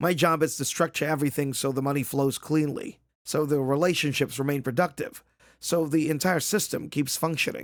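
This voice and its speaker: A man puts on a character voice, raspy and fairly high-pitched, talking at a fairly quick pace with fairly even intonation. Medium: read story. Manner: precise, tired, matter-of-fact.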